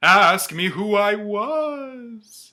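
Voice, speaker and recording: A fairly high, put-on character voice in a very clean recording with a silent background. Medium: read story. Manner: solemn, grave.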